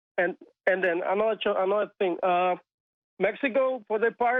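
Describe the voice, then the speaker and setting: In a Spanish accent, a man talks with intonation that stays fairly even. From Cuba. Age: 20s. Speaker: caller. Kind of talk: phone-in call. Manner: halting.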